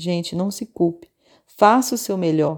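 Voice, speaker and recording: In a very clean recording with a silent background, a woman speaks at a moderate pace with a dark, mellow tone and medium pitch. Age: 30s. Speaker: voice-over announcer. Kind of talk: scripted personal commentary. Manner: fluent.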